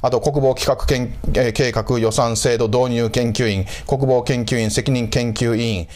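A man speaks at a fairly slow pace with very even loudness. His intonation stays fairly even. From Japan, Osaka. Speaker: historian and channel host; channel host. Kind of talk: solo lecture-style commentary. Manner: frequent filler hesitations. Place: home room. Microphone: lapel.

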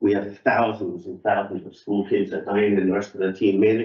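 Speaking over a quiet background with audible room echo, a man keeps a fairly quick pace, a fairly low pitch and monotone, flat intonation. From Canada, Toronto. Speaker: ice rink club volunteer; presenter. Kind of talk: public forum presentation. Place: meeting room. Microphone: camera far.

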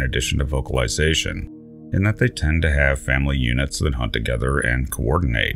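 A man is speaking. Music plays in the background. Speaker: science channel narrator. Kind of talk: documentary narration.

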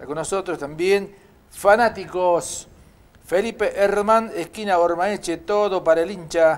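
This man's voice is high in pitch, with fairly even intonation and a fairly slow pace. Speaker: local TV sports show host. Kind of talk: live sponsor announcements; casual chat on live TV. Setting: TV studio.

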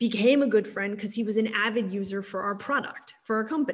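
A woman with an American accent speaks at a fairly high pitch and sounds somewhat breathy. Her intonation stays fairly even. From Texas, Austin; Texas. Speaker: technology executive; guest. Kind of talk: interview. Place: home room. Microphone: video call.

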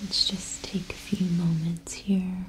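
A soft-spoken woman at a very slow pace, monotone and flat in intonation, over light background noise. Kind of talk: soft-spoken ASMR role-play guidance. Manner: soft, hushed ASMR voice. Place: home room.

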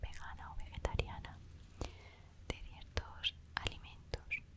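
A woman is whispering. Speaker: ASMR artist. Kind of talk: ASMR storytime. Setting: close to the microphone. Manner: whispered, soft-spoken. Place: home room. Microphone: studio mic.

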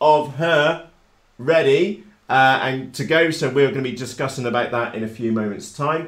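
In a room with audible echo and a quiet background, a man speaks at a fairly slow pace with ordinary pitch variation. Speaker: hobby channel host. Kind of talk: live stream chat. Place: workshop.

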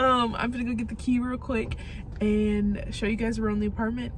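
Over noticeable background noise, a woman speaks at a very fast pace in a dry sound with no echo. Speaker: vlogger. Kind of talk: casual vlog chat. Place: car. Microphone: phone near.

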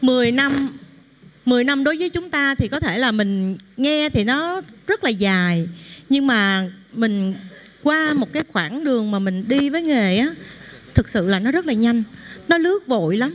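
A woman's high voice at a fairly slow pace, broken by long, frequent pauses. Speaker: actress thanking mentors. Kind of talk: emotional thank-you speech. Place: hall.

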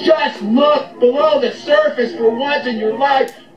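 A man speaks loudly at an extremely high pitch and a very slow pace. His intonation is fairly even, with noticeable background noise behind him. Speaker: health and wellness commentator, chiropractic-minded podcaster. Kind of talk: angry anti-establishment rant, preacher-like sermon to camera. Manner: loud, fired-up and confrontational, hammering points and barking orders at the audience.

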